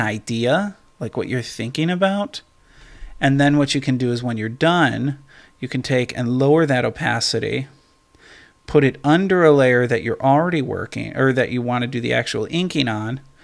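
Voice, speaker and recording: A man speaks with a normal speaking voice at a medium pitch. His pace is moderate, and his pitch varies in an ordinary way. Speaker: art tutorial creator. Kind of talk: tutorial. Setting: screen recording. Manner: casual, filler-heavy.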